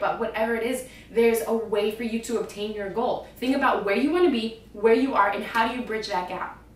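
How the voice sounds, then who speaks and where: An animated tone comes through at a fairly quick pace. Audible room echo and noticeable background noise surround the voice. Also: woman. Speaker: fitness vlogger. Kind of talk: casual vlog monologue. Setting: home, on camera.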